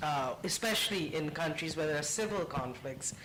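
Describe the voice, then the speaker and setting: Fairly high-pitched male speech, ordinary pitch movement, and audible echo from the room. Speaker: UN media official. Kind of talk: panel discussion. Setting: conference panel with audience.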